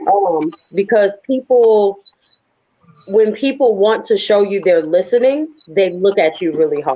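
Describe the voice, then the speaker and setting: In a normal speaking voice, a woman talks at a medium pitch and a fairly slow pace. Her intonation is lively and her loudness very even. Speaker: spoken word poet. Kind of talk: interview.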